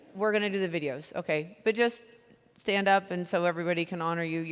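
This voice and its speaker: Noticeable background noise accompanies a voice with an American accent. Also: woman. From rural Texas. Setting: event emphasizing honoring attendees from a stage.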